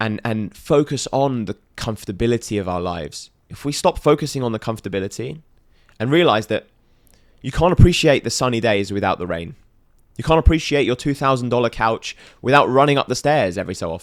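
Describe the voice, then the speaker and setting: In a very clean recording with a silent background, a man talks at a fairly quick pace with a medium pitch and lively intonation. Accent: British. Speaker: podcast guest, motivational entrepreneur. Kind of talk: casual podcast interview.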